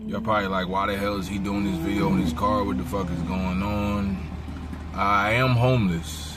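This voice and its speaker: Fairly low male voice at a moderate pace, ordinary pitch variation, audible room echo and noticeable background noise. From South Jersey, Cumberland County. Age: 20s. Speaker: homeless vlogger. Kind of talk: casual vlog monologue. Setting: in a car. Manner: halting, repetitive fillers.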